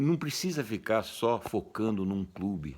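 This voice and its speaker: Speaking very slowly, a man with a fairly low pitch uses lively intonation. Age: 70s. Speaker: football commentator youtuber. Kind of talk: opinion monologue. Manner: animated.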